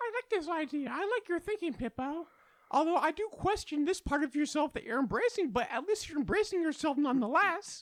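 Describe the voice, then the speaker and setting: Squeaky and high-pitched, this put-on character voice moves at a fairly quick pace. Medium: actual play.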